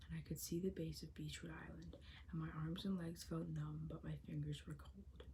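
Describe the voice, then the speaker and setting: Moderate pace from a soft-spoken woman. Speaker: ASMR creator reading a novel aloud. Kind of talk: audiobook-style ASMR reading. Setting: home recording with possible background construction noise.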